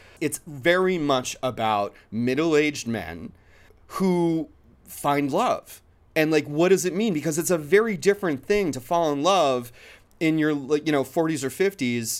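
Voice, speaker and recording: Animated in tone, a man speaks at a moderate pace in a fairly high pitch with lively intonation. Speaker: podcast host and filmmaker. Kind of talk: casual interview.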